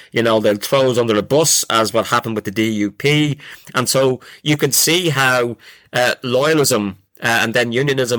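In a Dublin accent, a man talks at a moderate pace and medium pitch with ordinary pitch variation, his tone bright and sharp and the sound dry and close with no echo. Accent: Dublin Irish. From Ireland, Dublin. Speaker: professor. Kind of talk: casual chat. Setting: video call.

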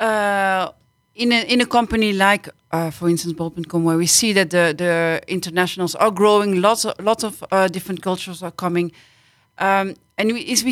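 A woman's medium-pitched voice with a Dutch accent, a moderate pace and ordinary pitch variation. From Belgium. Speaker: IT team leader. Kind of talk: podcast panel discussion. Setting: studio.

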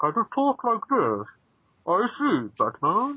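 The pace here is fairly slow. This put-on character voice sits at a fairly high pitch. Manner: menacing.

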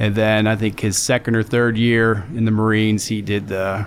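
A man talks at a fairly low pitch on a very clean recording with a silent background. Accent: American. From western Pennsylvania, near Pittsburgh. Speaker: war veteran. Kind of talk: casual interview conversation.

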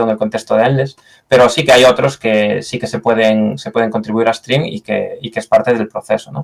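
A man with a Galician accent talks at a moderate pace, his medium-pitched voice keeping a fairly even intonation. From Galicia, Spain. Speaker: software engineer. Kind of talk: interview. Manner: hesitant, with fillers and repetitions.

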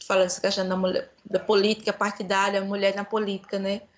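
The woman has a plain, everyday voice at a medium pitch. She speaks at a fairly quick pace. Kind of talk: casual chat.

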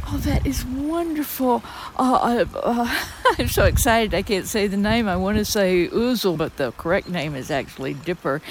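Speaking at a moderate pace, a woman shows vocal fry and very wide pitch swings. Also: medium pitch for a woman. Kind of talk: outdoor nature commentary. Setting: outdoors.

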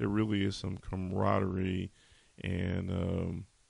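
In a very deep, low pitch, a man speaks at a fairly slow pace with vocal fry. His intonation stays fairly even. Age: 40s. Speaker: podcast host, military veteran. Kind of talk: solo podcast monologue. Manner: casual with many filler words.

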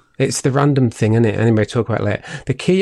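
The voice has a dark, mellow tone and a northern English accent. The background is quiet. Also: man. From northern England. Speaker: podcast co-host. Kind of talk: casual chat.

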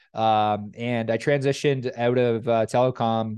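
In a quiet background, a man uses a normal speaking voice at medium pitch with fairly even intonation. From Canada. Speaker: lead generation agency owner. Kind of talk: casual interview chat.

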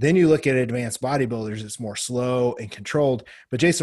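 Very fast and somewhat breathy, a man speaks in a medium pitch with ordinary pitch variation. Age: middle-aged. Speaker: bodybuilding podcast host. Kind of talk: casual chat.

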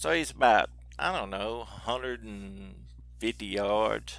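This is a man speaking. He has a strong Southern US accent. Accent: strong regional Southern US. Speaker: outdoors TV personality. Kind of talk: casual interview conversation.

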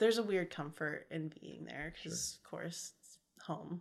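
In a very clean recording with a silent background, a woman with an American accent talks at a moderate pace, her fairly low pitch showing ordinary variation and some vocal fry. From California, Modesto area. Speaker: podcast co-host. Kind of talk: casual chat.

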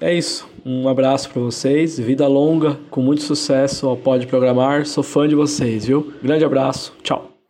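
Over noticeable background noise, a man speaks at a fairly high pitch. His intonation stays fairly even and he hardly pauses. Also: moderate pace, very even loudness. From São Paulo metro area, Brazil. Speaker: tech manager, listener. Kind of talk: recorded listener voice message.

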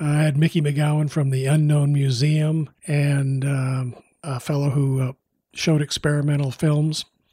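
Somewhat breathy and dark, mellow in tone, a man with an American accent talks at a fairly high pitch with fairly even intonation. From US Midwest. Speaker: documentary director and former TV news producer. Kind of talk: interview. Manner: halting, many fillers.

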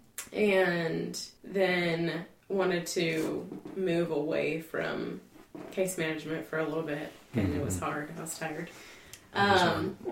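Over noticeable background noise, a woman with a fairly low pitch talks at a fairly slow pace with ordinary pitch variation. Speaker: family coach social worker. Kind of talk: interview.

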